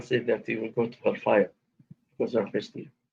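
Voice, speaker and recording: A man with an Arabic accent at a fairly quick pace. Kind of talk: live debate.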